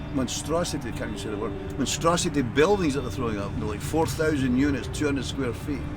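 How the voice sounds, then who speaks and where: In an American accent, the speaker keeps a fairly quick pace with ordinary pitch variation, amid noticeable background noise and audible room echo. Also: man. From Scotland, Glasgow. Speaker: homeless man, former engineer. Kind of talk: street interview. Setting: outdoors, parking lot. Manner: animated.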